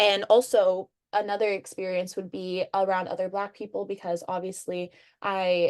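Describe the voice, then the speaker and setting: A woman's plain, everyday voice at medium pitch, with an American accent and a quiet background. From Michigan, US. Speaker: undergraduate student. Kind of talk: interview. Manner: casual, uses many fillers.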